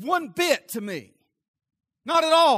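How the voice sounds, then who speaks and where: A man with a Southern US accent, his tone bright, sharp and animated, in a dry, close sound with no echo on a very clean recording with a silent background. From US South. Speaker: pastor. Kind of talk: sermon, preaching to a live congregation with direct appeals and call-and-response. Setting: church. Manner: animated, fervent, pressing urgently on the congregation; conversational, interjects laughs and asks for 'amen' from the audience.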